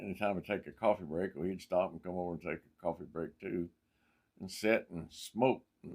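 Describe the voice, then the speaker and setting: Speaking at a moderate pace, a man uses a very deep, low pitch with ordinary pitch variation. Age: old. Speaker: mechanic and college professor. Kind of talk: personal anecdote told to camera. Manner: animated storytelling.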